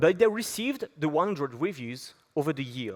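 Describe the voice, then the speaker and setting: A man with a French accent, fairly high in pitch, with very wide pitch swings. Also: very clean recording, silent background. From France. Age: 20s. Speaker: app company founder. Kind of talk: conference talk. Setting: stage with audience.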